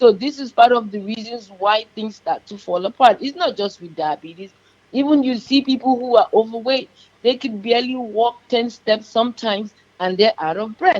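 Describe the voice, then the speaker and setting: A woman speaks at a moderate pace with a Yoruba accent, her fairly high pitch carried by lively intonation and big swings in loudness. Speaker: diabetes nurse practitioner. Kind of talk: radio interview.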